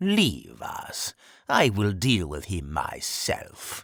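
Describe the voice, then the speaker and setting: A man does a put-on character voice, growling at a fairly low pitch. He speaks at a very slow pace in a very clean recording with a silent background. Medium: read story. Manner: cold, commanding.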